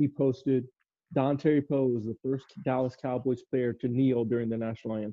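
Speaking at a fairly quick pace, a man has a medium pitch and fairly even intonation. He has a normal speaking voice. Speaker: co-host. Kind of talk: casual chat about football.

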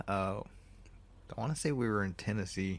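This man speaks with a fairly low pitch. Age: 30s. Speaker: solo movie review podcast host. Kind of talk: casual solo movie commentary. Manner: animated.

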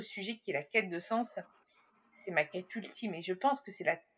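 Lively intonation and a moderate tempo in a woman's fairly high-pitched voice. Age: 30s. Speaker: podcaster and social media consultant. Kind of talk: casual interview.

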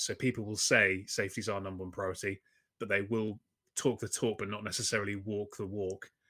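A man with a London accent, a fairly low pitch and a bright, sharp tone, in a very clean recording with a silent background. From England (London). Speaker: safety consultant. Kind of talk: interview.

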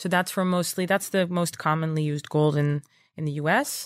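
Recorded very cleanly over a silent background, a woman with a Dutch accent speaks at a fairly low pitch. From Netherlands. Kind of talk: interview.

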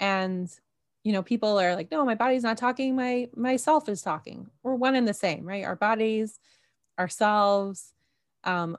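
Over a quiet background, a woman with a Canadian accent has an ordinary speaking voice and moderate pace. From Canada, Toronto. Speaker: mind-body coach and podcaster. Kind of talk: interview conversation.

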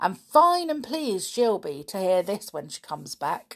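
Putting on a character voice, a woman of medium pitch speaks fairly slowly with vocal fry and big pitch swings.

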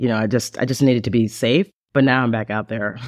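A man with an unremarkable speaking voice talks at a fairly quick pace with ordinary pitch variation, in a dry, close sound with no echo. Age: 50s. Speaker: audiobook narrator and podcast guest. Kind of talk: casual interview. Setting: video call.

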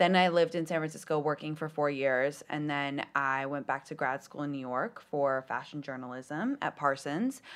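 Against a quiet background, a woman with an American accent speaks at a moderate pace in a very deep, low pitch, her intonation fairly even. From London. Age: 30s. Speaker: TikToker and comedian. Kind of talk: casual podcast interview. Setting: studio.

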